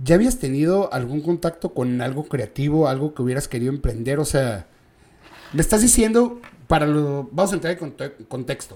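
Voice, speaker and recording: A man speaks in a Mexican accent with a fairly high pitch. His tone is dark and mellow, and his intonation is lively. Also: moderate pace. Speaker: podcast host. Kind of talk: casual chat.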